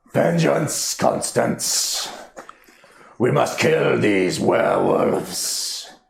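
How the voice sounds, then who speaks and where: Very slowly, a man speaks in a raspy put-on character voice. A slight echo can be heard. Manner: commanding, vengeful.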